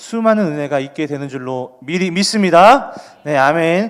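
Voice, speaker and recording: A man's fairly high voice moves along at a fairly quick clip. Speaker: junior pastor for children. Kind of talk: sermon. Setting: online broadcast without live audience. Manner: fast.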